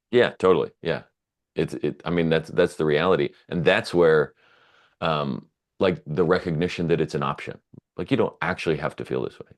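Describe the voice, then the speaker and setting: A man speaks at a moderate pace in a very deep, low pitch. His voice has vocal fry and ordinary pitch variation. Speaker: podcast host. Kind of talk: casual chat. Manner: loud.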